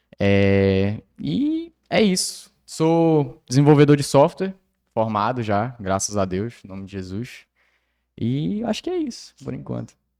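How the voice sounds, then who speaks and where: On a very clean recording with a silent background, a man talks fairly slowly in a dark, mellow tone, with very wide pitch swings and big swings in loudness. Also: medium pitch for a man. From Brazil, mostly Tocantins (born in Belém, Pará). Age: 20s. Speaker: church youth cell leader, software developer. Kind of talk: casual chat.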